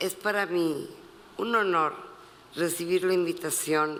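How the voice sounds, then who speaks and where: The voice belongs to a man. It rises and falls in an ordinary way. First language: Spanish. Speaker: photographer, award recipient. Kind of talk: acceptance speech.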